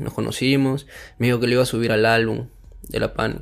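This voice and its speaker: A Peruvian accent at a fairly quick pace. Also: man. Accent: Peruvian Spanish (Lima). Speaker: rapper. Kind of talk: casual chat.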